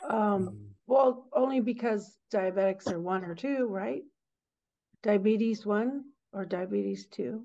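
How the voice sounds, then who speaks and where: In a plain, everyday voice, a woman talks at a fairly slow pace with a medium pitch and ordinary pitch variation. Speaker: audience member asking questions.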